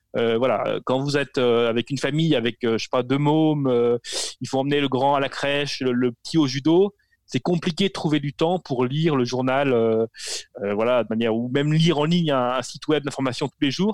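A man talks at a moderate pace. His pitch sits in the medium range, with ordinary pitch variation. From rural France. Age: 40s. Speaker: newsletter media founder. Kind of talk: interview. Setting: video call. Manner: halting, many repetitions.

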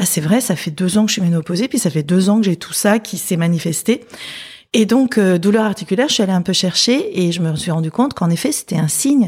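Somewhat breathy and medium-pitched, a woman talks at a fairly quick pace. Her pitch varies in an ordinary way. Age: 50s. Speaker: psychologist. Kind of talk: casual interview chat.

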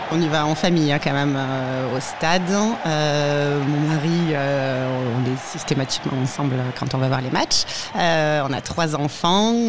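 At a very slow pace and with hardly any pauses, the voice carries audible room echo amid noticeable background noise. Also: woman, very deep, low pitch for a woman, ordinary pitch variation. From Aude, southern France. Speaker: football supporter. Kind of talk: interview testimony. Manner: hesitant, many fillers.

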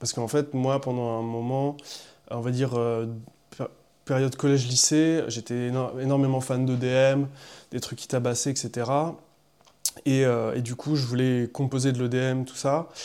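A man speaks in a flat monotone at a medium pitch, his tone dark and mellow. He talks at a fairly slow pace with long, frequent pauses. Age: 20s. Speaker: electronic music artist and sound engineer. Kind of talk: interview.

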